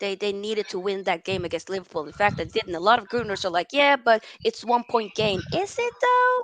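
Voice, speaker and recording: A woman with a medium-pitched voice speaks at a moderate pace, her tone animated and her pitch varying in an ordinary way. The sound is dry and close, with no echo. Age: 20s. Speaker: football talk show host. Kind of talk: live call-in match reaction.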